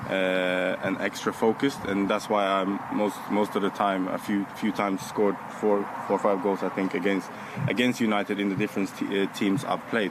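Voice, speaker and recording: Over noticeable background noise, a man with a fairly low pitch speaks at a fairly quick pace in a monotone, flat intonation. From Norway. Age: 30s. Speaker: footballer. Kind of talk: press interview. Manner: halting.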